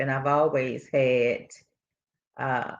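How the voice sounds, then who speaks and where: The speech comes at a very slow pace against a quiet background. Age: 60s. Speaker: tour participant. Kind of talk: casual interview.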